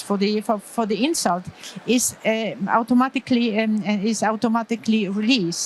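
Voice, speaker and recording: A woman with a Polish accent, fairly high in pitch, at a moderate pace amid noticeable background noise. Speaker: pediatric anesthesiologist. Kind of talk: conference lecture. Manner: halting.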